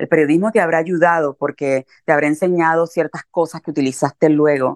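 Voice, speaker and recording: A woman's very fast, energetic voice, fairly low in pitch, with a Puerto Rican accent and a dry, close sound with no echo. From Puerto Rico, Carolina. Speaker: writer. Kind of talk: interview conversation. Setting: remote call.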